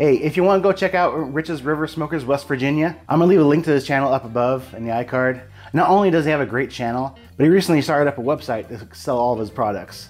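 A man talking very fast with ordinary pitch variation, faint music in the background. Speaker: barbecue channel host. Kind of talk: casual vlog chat. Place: home room. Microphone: lapel.

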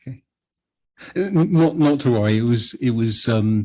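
A man speaks with a British accent at a moderate pace. The background is quiet. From UK. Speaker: planning commissioner chairing the meeting. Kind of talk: public meeting discussion. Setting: city planning commission meeting. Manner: halting, many fillers and restarts.

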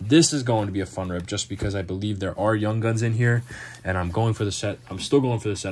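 Somewhat breathy, the speech rises and falls with ordinary pitch variation. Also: man. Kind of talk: casual vlog chat. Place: home room. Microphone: phone near.

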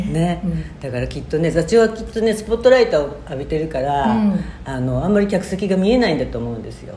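Over noticeable background noise, a woman with a very deep, low pitch talks at a very fast pace with hardly any pauses, very wide pitch swings and big swings in loudness. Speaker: chorus singer. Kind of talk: casual talk to camera.

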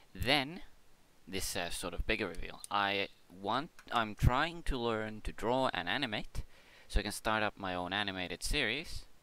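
Mumbling at a moderate pace, a man with a fairly low pitch and a bright, sharp tone uses lively intonation in a very clean recording with a silent background. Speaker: gaming YouTuber and streamer. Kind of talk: casual rambling update talk.

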